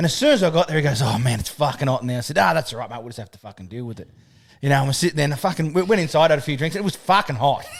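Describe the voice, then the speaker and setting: A man with an Australian accent talks very fast at a fairly high pitch, his voice making very wide pitch swings. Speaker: podcast host. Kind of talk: casual chat.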